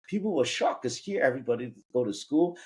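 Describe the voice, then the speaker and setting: In a Cantonese accent, a man talks with very wide pitch swings. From Vietnam. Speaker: business founder. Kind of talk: personal story in interview.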